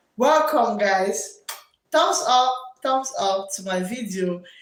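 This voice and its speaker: A woman talks very slowly, and audible room echo follows her words. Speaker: teacher and livestream host. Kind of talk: live stream chat. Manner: loud.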